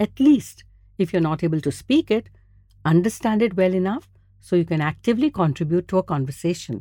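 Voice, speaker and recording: With a Gujarati accent, a woman speaks fairly quickly in a dark, mellow tone at medium pitch, her pitch swinging very widely, the sound dry and close with no echo. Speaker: podcast host. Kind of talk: scripted narration.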